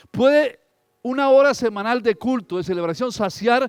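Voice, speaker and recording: A man talks at a fairly slow pace in an animated tone with lively intonation while music plays in the background. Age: 60s. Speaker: pastor. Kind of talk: sermon.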